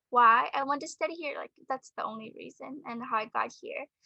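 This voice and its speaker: Raised, projected female voice, high-pitched with a bright, sharp tone, lively intonation and a fairly slow pace, in a dry, close sound with no echo. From Burma. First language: Burmese. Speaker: architecture student. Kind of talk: interview. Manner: halting.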